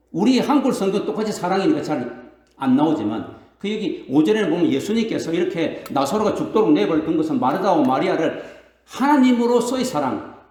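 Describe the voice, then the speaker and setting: A man speaks high and fairly quickly, his pitch swinging very widely. Room echo is audible. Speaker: pastor. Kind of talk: sermon. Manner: fast, stammering when excited.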